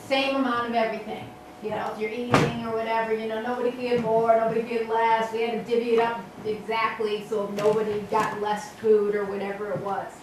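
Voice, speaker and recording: Over noticeable background noise, a woman with an American accent talks in a fairly high pitch with monotone, flat intonation. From Chicago. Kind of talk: personal anecdote told to audience.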